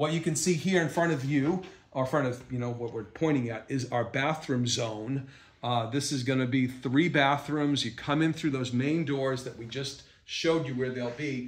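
The room gives off audible echo. In it, a man talks with a somewhat breathy voice. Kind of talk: walking tour commentary. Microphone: camera far.

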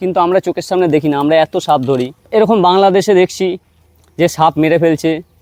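A man talks in a high pitch. His intonation stays fairly even. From West Bengal, Hooghly district. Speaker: snake rescuer and vlogger. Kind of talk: outdoor rescue vlog narration.

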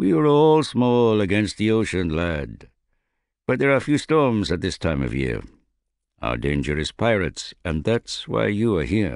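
A man puts on a gruff character voice with a very deep, low pitch. He moves at a moderate pace with very wide pitch swings. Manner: gruff, blunt.

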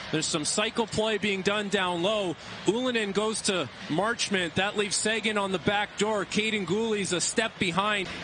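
In a raised, projected, high-pitched voice, a man speaks at a moderate pace with very even loudness and fairly even intonation over noticeable background noise. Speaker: hockey color commentator. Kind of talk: analytical replay breakdown commentary. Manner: measured, explanatory.

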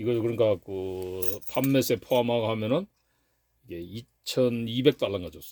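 Speaking fairly slowly, a man has a dark, mellow tone at medium pitch with ordinary pitch variation. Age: 60s. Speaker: gun collector and YouTuber. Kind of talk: casual show-and-tell vlog.

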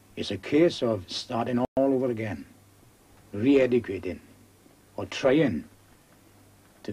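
In a South Wales accent, a man speaks with a dark, mellow tone that is somewhat breathy. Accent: South Wales valleys. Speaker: coal miner. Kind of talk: casual interview. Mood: earnest, frustrated about union politics. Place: tunnel cave.

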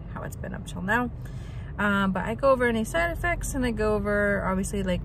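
There is noticeable background noise behind a woman's voice. The sound is dry, with no echo. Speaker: vlogger. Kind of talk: casual vlog chat. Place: car. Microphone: phone near.

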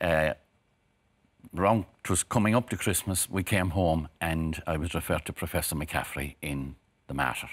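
In a Cork accent, a man with a very deep, low voice speaks fairly slowly with long, frequent pauses and ordinary pitch variation, against a quiet background. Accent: Cork Irish. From Ireland, Cork. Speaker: cancer survivor. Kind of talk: TV interview. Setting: TV studio. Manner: halting. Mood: reflective, earnest. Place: studio. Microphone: lapel.

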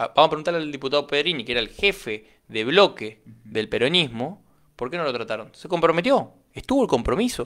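A man's fairly high voice moves at a fairly quick pace with very wide pitch swings over a quiet background. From Argentina, Chaco. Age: 20s. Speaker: political candidate and entrepreneur; interviewee. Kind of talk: radio interview. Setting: radio studio. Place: studio. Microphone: studio mic.

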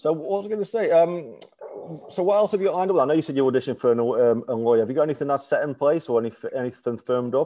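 The pace is very fast. The intonation is lively. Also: man, fairly high pitch for a man. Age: 40s. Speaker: interviewer. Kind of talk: casual interview chat. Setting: video call. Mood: warm, friendly. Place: home room. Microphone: video call.

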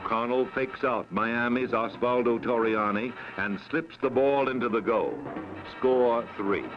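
Over music in the background, a man speaks at medium pitch and a fairly slow pace, with very even loudness. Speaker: sports film narrator. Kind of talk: sports highlight film narration.

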